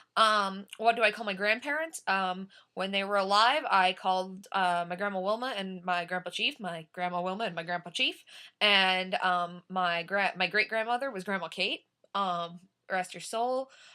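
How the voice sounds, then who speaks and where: Speaking at a moderate pace, a woman uses a medium pitch with ordinary pitch variation and a bright, sharp tone. The recording is very clean, with a silent background. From Oklahoma (Tahlequah, Tulsa), moved often. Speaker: vlogger. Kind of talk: accent tag word list and questions.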